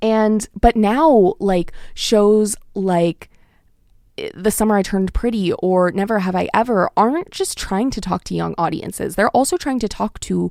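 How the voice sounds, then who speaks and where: A woman with an American accent talks at a fairly slow pace in an unremarkable speaking voice, medium in pitch with ordinary pitch variation. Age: 20s. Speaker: college radio host and graduate student. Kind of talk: casual radio monologue. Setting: radio studio. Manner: filler-heavy, self-correcting.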